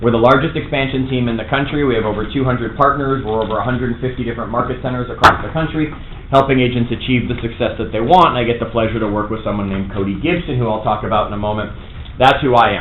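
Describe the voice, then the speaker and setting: A man with an American accent talks very fast at a medium pitch with ordinary pitch variation, amid noticeable background noise and audible room echo. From US Northeast / Toronto area. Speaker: real estate trainer. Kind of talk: workshop lecture. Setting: classroom with live audience. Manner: animated.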